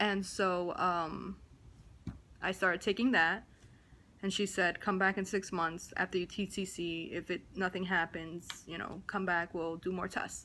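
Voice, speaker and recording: A woman talks in a New Jersey accent with a bright, sharp tone. Her delivery is fairly slow and monotone. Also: medium pitch for a woman. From New Jersey, US. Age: 20s. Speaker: vlogger. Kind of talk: personal vlog, testimony. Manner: casual, with many fillers.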